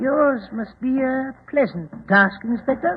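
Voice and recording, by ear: A man puts on a character voice at an extremely high pitch. He talks fairly slowly, with a slightly husky edge. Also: ordinary pitch variation.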